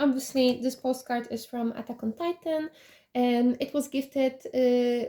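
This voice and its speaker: Her tone dark and mellow, a woman speaks at a high pitch and a fairly slow pace with fairly even intonation. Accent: Polish. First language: Polish. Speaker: K-pop collection vlogger. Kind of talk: collection showcase. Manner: halting, many fillers.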